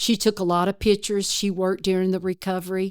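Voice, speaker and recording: A woman with an East Texas accent at a medium pitch and moderate pace, on a very clean recording with a silent background. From East Texas, rural. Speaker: retired forest service worker, disaster responder. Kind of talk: interview storytelling.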